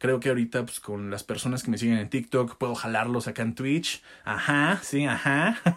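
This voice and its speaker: A man with a Mexican accent talks at a moderate pace and medium pitch, with hardly any pauses. His pitch varies in an ordinary way. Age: 20s. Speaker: podcast host and content creator. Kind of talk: casual solo podcast monologue. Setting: pantry used as makeshift studio. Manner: occasional stutter.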